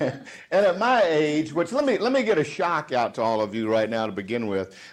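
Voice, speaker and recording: His voice carries a Southern US accent. The man's fairly high pitch makes very wide swings. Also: moderate pace. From US South. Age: 50s. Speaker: sales trainer. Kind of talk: motivational speech. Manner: animated.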